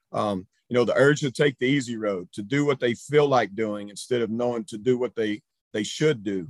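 Here a man with an ordinary speaking voice talks at a moderate pace and medium pitch with ordinary pitch variation. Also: dry, close sound with no echo. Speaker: high school baseball coach. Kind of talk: presentation. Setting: video call.

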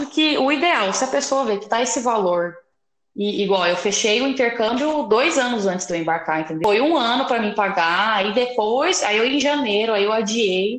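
In a plain, everyday voice, a woman with a fairly high pitch talks at a moderate pace with lively intonation. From interior of São Paulo, Brazil. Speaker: podcast host, journalist. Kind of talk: casual interview chat.

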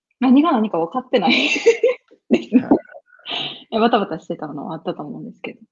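Vocal fry at a moderate pace, with very wide pitch swings and big swings in loudness. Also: woman, fairly high pitch for a woman. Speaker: geisha. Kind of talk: casual interview.

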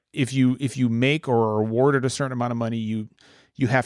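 The speaker has an American accent. The intonation stays fairly even. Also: man, very clean recording, silent background. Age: 40s. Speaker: war veteran. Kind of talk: casual chat.

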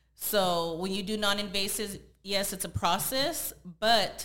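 A woman with an American accent speaks at medium pitch and a fairly slow pace, her tone bright and sharp. Her pitch variation is ordinary, and audible room echo surrounds her. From San Jose, California. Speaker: body contouring business owner. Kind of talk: casual interview chat.

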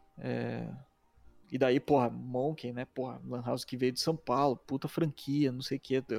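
Music plays behind a man speaking at a medium pitch and a fairly slow pace. His delivery is monotone and flat, and the sound is dry and close with no echo. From Curitiba, southern Brazil. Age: 30s. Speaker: video editor and motion designer, former pro gamer. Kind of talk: casual interview chat. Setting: livestream.

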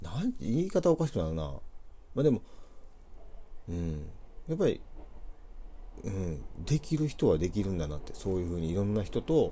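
A man with a Kansai accent speaks in a dark, mellow, somewhat breathy voice at a fairly low pitch. His pitch swings very widely, and he takes long, frequent pauses. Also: moderate pace. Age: 40s. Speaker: poultry farmer and gardener, business owner. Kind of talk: casual chat.

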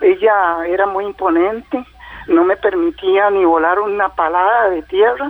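A man speaks at a fairly slow pace in a high voice with ordinary pitch variation, over noticeable background noise. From Costa Rica, southern Pacific region. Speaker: caller, caregiver of his mother. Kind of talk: phone-in call.

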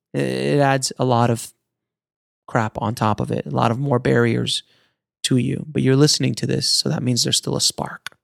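A man speaks at a moderate pace with a dry, close sound and no echo. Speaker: podcast host. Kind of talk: pep talk. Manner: earnest, motivational, urgent; emphatic, driving, inspirational.

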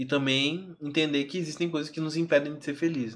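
Using an ordinary speaking voice, a man talks at a moderate pace with a fairly high pitch in a very clean recording with a silent background. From Alvorada, greater Porto Alegre, southern Brazil. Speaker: singer and artist. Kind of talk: casual interview chat.

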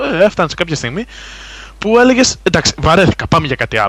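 The speaker's pitch swings very widely. Vocal fry runs through the voice. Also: man. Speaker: gaming site contributor. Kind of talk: casual chat.

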